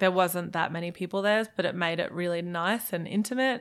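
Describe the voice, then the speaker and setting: A woman with an Australian accent and a fairly low pitch is heard on a very clean recording with a silent background. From Germany, raised in Australia from childhood. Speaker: musician. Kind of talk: casual chat.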